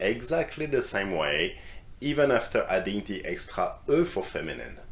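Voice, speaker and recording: A man speaking at a fairly slow pace in a French accent. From France. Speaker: French teacher. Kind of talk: language lesson.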